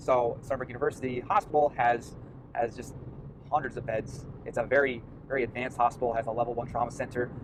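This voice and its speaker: Talking at a very fast pace, a man with a Long Island accent has a medium pitch and fairly even intonation. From US Northeast, Long Island, New York. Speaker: medical student vlogger. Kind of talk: casual vlog monologue. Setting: in a car. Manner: halting, many fillers and repeats.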